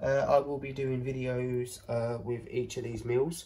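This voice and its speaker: A somewhat breathy man speaks at a fairly slow pace over light background noise. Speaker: home vlogger. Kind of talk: casual haul vlog chat. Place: kitchen. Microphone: phone near.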